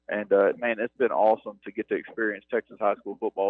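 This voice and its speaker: A man talks at a very fast pace. He has a strong North Mississippi accent. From US South, North Mississippi (Starkville). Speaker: university athletics operations director. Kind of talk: radio interview.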